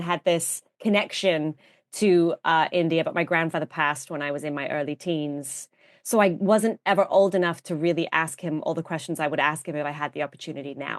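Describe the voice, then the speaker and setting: Against a quiet background, a woman speaks at a fairly quick pace in a fairly low voice with ordinary pitch variation, the sound dry and close with no echo. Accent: English. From England, outskirts of London (Surbiton). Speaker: vintage fashion influencer and actress. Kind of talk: podcast interview.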